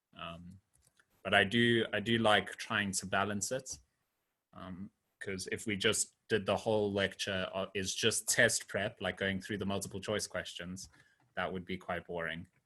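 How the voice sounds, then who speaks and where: On a very clean recording with a silent background, a man speaks fairly slowly in a fairly low pitch, his tone bright and sharp and his intonation monotone and flat. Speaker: programming lecturer. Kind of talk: lecture. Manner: halting.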